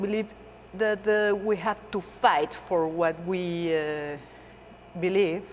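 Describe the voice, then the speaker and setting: The woman's intonation is lively and her pace very slow. Noticeable background noise runs underneath. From Mexico. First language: Spanish. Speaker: stage actress. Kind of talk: interview. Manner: hesitant, many fillers.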